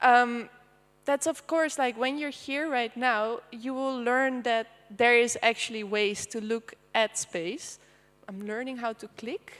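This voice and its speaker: A woman with a high pitch talks at a fairly slow pace, her loudness swinging widely. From Netherlands. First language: Dutch. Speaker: artist. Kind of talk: presentation. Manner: casual with many fillers.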